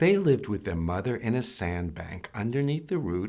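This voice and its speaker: The voice has a gentle, warm tone. Its pitch swings very widely. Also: man. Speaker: storytime reader, grandfather. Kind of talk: children's storybook read-aloud. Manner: gentle, warm, calm.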